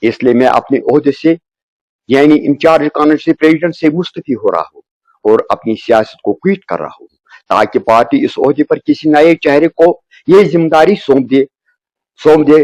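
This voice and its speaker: A man with a plain, everyday voice and a fairly high pitch shows ordinary pitch variation. His loudness swings widely, and the sound is dry and close with no echo. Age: 60s. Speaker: local politician. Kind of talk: press statement. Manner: formal.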